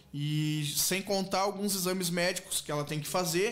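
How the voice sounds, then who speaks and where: With fairly even intonation, a man speaks at a moderate speed. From southern Brazil, Rio Grande do Sul (Canguçu); Rio Grande do Sul, Brazil. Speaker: charity bingo organizer, patient's husband; guest. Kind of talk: radio interview. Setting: radio studio, streamed live. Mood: earnest, appealing for help. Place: studio. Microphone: studio mic.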